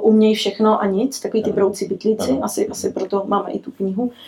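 A woman at fairly high pitch, dark and mellow in tone, monotone and flat in intonation, at a moderate pace. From Cuba. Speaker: business executive. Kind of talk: interview.

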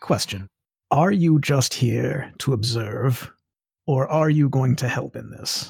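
A man's put-on character voice, medium in pitch and fairly slow in pace. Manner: brisk, businesslike.

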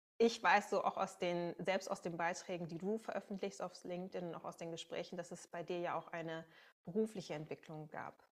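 At a fairly quick pace, a woman speaks in a fairly low pitch with fairly even intonation, an unremarkable speaking voice. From Münsterland, Germany. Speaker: podcast host. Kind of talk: podcast interview.

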